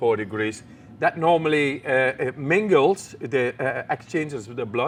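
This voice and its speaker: With a Dutch accent, a man speaks at a fairly slow pace. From Netherlands. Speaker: extreme athlete. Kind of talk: interview answer.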